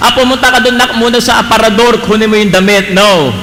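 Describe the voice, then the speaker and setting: There's noticeable background noise and audible room echo. The speech moves at a fairly quick pace. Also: man. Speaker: pastor. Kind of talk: sermon. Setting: church.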